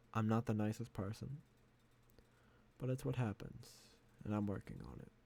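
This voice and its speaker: This man's fairly low, dark, mellow voice carries vocal fry and big swings in loudness, moving at a moderate pace with ordinary pitch variation. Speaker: podcaster. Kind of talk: solo unscripted podcast monologue. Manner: reflective, thinking aloud.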